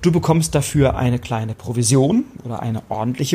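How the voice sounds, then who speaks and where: A man speaks with very wide pitch swings at a medium pitch. His voice is somewhat breathy. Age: 30s. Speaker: podcast host, referral marketing coach. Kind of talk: solo podcast monologue. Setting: on a hotel terrace by the sea.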